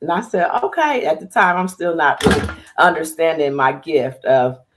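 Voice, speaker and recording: A woman with an American accent, fairly low-pitched, at a moderate pace. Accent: slightly country. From US Midwest, Dayton Ohio. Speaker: TV and radio producer, public speaker. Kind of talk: interview conversation. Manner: animated.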